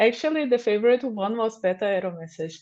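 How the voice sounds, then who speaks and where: With a Portuguese accent, a woman speaks at a moderate pace in a fairly high pitch. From Brazil. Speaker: software developer advocate. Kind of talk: conference talk. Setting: remote livestream.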